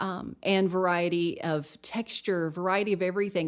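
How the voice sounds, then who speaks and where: Medium-pitched female speech, very cleanly recorded against a silent background. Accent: Southern US. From Tennessee. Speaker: nutrition coach. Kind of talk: podcast interview.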